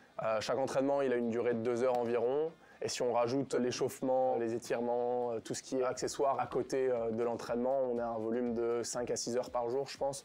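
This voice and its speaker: Medium in pitch and dark and mellow in tone, a man speaks at a fairly quick pace with monotone, flat intonation. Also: hardly any pauses. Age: 20s. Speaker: athlete and engineering student. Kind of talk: interview. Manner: hesitant with frequent fillers.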